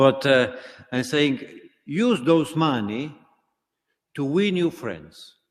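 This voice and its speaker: Lively intonation marks this voice with a non-native accent. The pace is very slow, with long, frequent pauses. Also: man, fairly high pitch for a man. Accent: foreign. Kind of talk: sermon. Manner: halting, many fillers.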